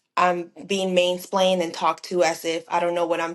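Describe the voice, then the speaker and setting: Speaking at a moderate pace, a woman with a fairly low pitch and a strong Spanish accent uses monotone, flat intonation. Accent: thick Spanish accent in English. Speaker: project manager in defense industry. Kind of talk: podcast interview.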